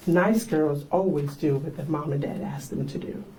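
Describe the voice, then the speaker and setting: A woman with an American accent and a very deep, low pitch speaks at a fairly slow pace with lively intonation. Noticeable background noise and audible room echo fill the recording. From South Carolina Lowcountry, Charleston and Sea Islands. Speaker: pastor. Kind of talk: storytelling talk to an audience. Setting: library event with audience. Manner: conversational.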